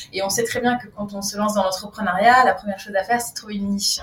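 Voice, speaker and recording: Very fast speech from a woman with a fairly high pitch, over noticeable background noise. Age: 30s. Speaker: breathing coach. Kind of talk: casual chat. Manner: animated.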